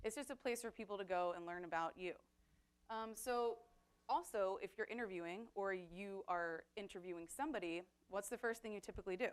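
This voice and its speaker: A woman at a medium pitch, with ordinary pitch variation and a fairly quick pace. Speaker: digital communications coordinator and webmaster. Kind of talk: workshop presentation. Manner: fast.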